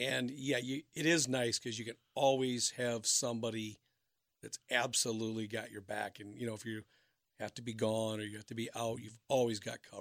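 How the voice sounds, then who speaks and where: Here is a normal speaking voice with a moderate tempo. Its intonation stays fairly level. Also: man, medium pitch for a man, dry, close sound with no echo. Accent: American. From Minnesota. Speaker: pool business owner. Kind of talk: radio interview.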